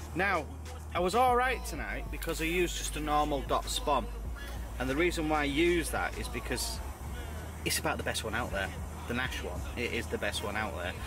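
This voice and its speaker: Music plays in the background. A man speaks at a fairly quick pace. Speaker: angler vlogger. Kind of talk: casual vlog chat. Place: tent.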